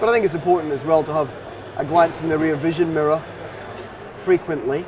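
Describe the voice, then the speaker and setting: Noticeable background noise sits behind a man speaking at a very fast pace. He has a slight Scottish accent, a fairly high pitch and fairly even intonation. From Scotland, Dundee. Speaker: financial advisor. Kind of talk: interview.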